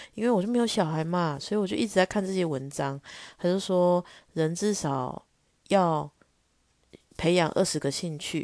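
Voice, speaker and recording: Against a quiet background, a woman with a fairly low pitch talks at a moderate pace, with ordinary pitch variation and long, frequent pauses. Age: 30s. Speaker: podcast host. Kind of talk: casual solo monologue.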